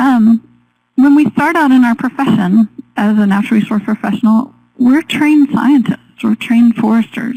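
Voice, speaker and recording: A woman speaks at a high pitch with ordinary pitch variation and very even loudness, her voice dry and close with no echo. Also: moderate pace. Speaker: forestry researcher and educator. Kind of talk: webinar presentation. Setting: webinar. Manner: soft-spoken.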